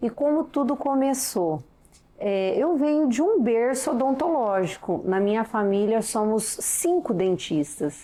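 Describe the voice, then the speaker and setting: Intonation here is lively. The words come out fairly slowly. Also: woman. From interior of São Paulo state, Brazil. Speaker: dentist. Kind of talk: interview.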